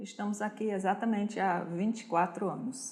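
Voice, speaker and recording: Her voice is fairly high and somewhat breathy, and the woman speaks at a fairly slow pace with fairly even intonation. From Switzerland, Zurich. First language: Swiss German (speaking Portuguese). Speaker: German teacher and honorary consul. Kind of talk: interview.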